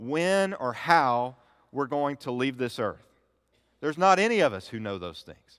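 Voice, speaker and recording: In an unremarkable speaking voice, a man talks at a fairly high pitch and moderate pace on a very clean recording with a silent background. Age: 30s. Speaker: pastor. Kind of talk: sermon. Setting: church.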